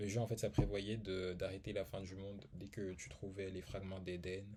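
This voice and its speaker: A man's fairly low, dark, mellow voice, somewhat breathy, at a fairly quick pace with fairly even intonation. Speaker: YouTuber reviewing art books. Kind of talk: casual video review. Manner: hesitant, many fillers.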